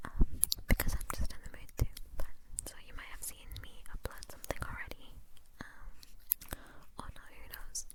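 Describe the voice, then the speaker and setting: Whispering at a moderate pace with long, frequent pauses, the speaker is heard over noticeable background noise. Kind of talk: casual ASMR talk to camera. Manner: soft-spoken, whispered.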